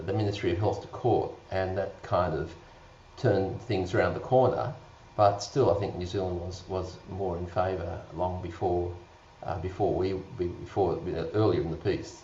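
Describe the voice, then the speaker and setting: There is audible room echo around a man with a very deep, low pitch talking at a moderate pace. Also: ordinary pitch variation. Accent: Australian. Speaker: doctor. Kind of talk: panel discussion.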